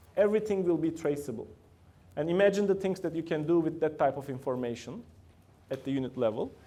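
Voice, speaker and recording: A man with a Turkish accent speaks at a fairly quick pace in a dark, mellow tone. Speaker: company founder and CEO giving guest talk. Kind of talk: lecture. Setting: university classroom with student audience.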